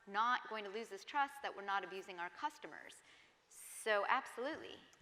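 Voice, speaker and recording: There is noticeable background noise. A woman with an American accent speaks at a moderate pace with ordinary pitch variation. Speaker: tech ethics panelist. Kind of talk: panel discussion. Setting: stage with audience.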